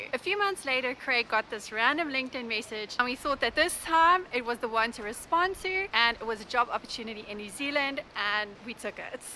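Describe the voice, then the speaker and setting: A woman's high-pitched voice with a South African accent, lively intonation, a fairly quick pace and hardly any pauses, over noticeable background noise. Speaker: vlogger. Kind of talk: Q&A vlog.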